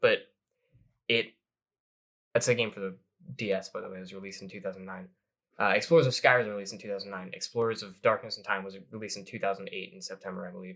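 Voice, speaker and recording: A man talks at a very fast pace, his loudness swinging widely, with long pauses coming often. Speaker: podcast co-host. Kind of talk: casual chat. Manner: animated.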